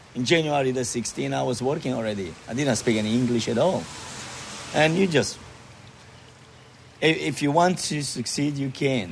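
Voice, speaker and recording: Over noticeable background noise, a man speaks at a fairly slow pace, his medium pitch showing ordinary variation. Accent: Romanian. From Romania. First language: Romanian (speaking Croatian). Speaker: motel owner. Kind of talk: interview.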